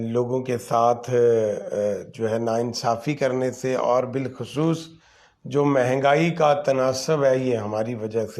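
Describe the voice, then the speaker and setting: The man talks at a very slow pace and a medium pitch. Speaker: online talk show host. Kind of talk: live commentary monologue. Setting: livestream. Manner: halting, many fillers.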